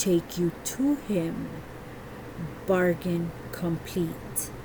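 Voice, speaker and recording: A woman's put-on character voice, fairly low in pitch and very slow, under loud background noise. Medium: read story. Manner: terse, grunting.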